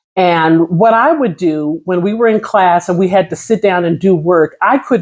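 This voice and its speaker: At a fairly slow pace, a woman with an unremarkable speaking voice talks with lively intonation against a quiet background. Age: 50s. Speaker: vlogger sharing personal experience. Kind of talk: casual personal talk to camera.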